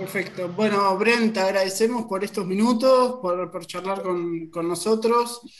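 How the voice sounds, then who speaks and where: Speech comes at a fairly slow pace with hardly any pauses. There is noticeable background noise. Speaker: podcast host. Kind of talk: interview. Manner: halting, many fillers and repetitions.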